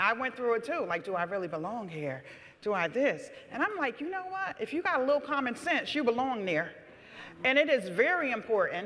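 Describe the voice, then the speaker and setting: A woman with an American accent speaks loudly at a high pitch and a fairly quick pace. Her pitch swings very widely over noticeable background noise. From New Haven, Connecticut. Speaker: city alder. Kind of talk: panel discussion. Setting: stage with audience. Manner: loud, projecting.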